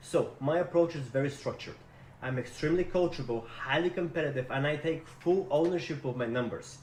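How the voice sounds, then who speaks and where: A man speaks with a Russian accent at a moderate pace. His voice sits at a fairly high pitch. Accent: Russian-sounding. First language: not English. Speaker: sales rep job seeker. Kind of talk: recorded self-introduction video. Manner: energetic.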